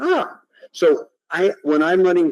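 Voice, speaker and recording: A man's voice comes through dry and close with no echo. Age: 60s. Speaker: invited lecturer, technology researcher. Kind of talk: audience Q&A; lecture.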